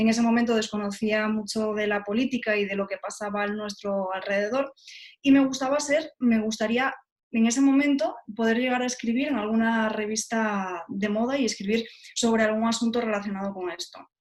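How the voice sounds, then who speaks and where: A woman with a normal speaking voice talks at a fairly quick pace. Her pitch sits fairly high and her intonation stays fairly even. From Spain, Galicia (Lugo). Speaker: journalist, TV presenter. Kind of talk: interview.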